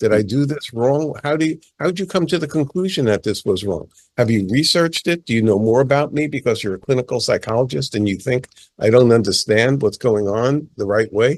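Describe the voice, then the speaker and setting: A man talks with a New York accent at a medium pitch. His pace is fairly quick. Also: quiet background. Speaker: palmist, author. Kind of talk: interview. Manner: animated.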